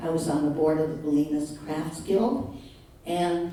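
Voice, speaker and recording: Over noticeable background noise and audible room echo, a woman speaks with a very deep, low pitch and fairly even intonation. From Canada, Manitoba. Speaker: retiree giving talk. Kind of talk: personal presentation to audience. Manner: halting, many fillers.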